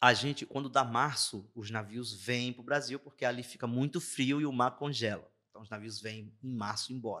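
Medium-pitched and bright, sharp in tone, a man talks at a moderate pace with fairly even intonation and hardly any pauses. His loudness swings widely, and the recording is very clean with a silent background. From Brazil, interior of Ceará (Juazeiro do Norte). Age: 40s. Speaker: navy non-commissioned officer. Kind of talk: interview storytelling.

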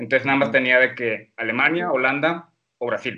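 The man's voice is fairly high in pitch, with a bright, sharp tone. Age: 20s. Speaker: medical student. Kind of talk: casual chat.

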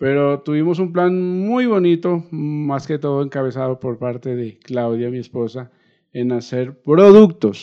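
At a fairly slow pace, a man with a normal speaking voice talks in a fairly high pitch with ordinary pitch variation. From Colombia, Nariño (Ipiales). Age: 50s. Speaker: musician. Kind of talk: interview.

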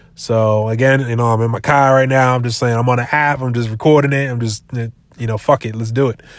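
A man's medium-pitched voice with an American accent, monotone and flat, at a fairly quick pace with hardly any pauses, on a very clean recording with a silent background. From Massachusetts, Brockton. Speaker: sports podcast host. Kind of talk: casual monologue. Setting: in a car.

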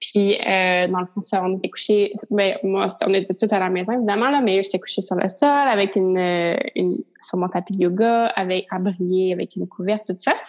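Speaking in a Quebec accent at a moderate pace, a woman uses a medium pitch and fairly even intonation over noticeable background noise. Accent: Québécois French. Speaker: podcast host. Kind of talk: casual interview.

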